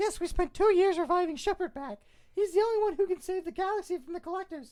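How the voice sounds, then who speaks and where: A woman uses a put-on character voice that is squeaky and extremely high in pitch. She talks at a very fast pace with ordinary pitch variation. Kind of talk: comic overacting. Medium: read story.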